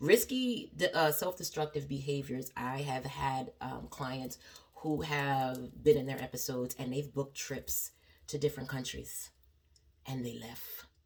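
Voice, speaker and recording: Speaking at a fairly slow pace, a woman with a very deep, low pitch and vocal fry keeps her intonation fairly even while her loudness swings widely. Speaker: therapist. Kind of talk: educational talk.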